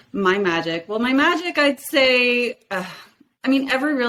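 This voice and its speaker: Loud and with a Canadian accent, a woman talks at a moderate pace while her pitch swings very widely. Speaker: realtor. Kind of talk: podcast interview. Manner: energetic.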